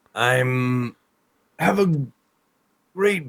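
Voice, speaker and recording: A man's put-on character voice at a medium pitch, very slow in pace, with lively intonation. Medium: actual play.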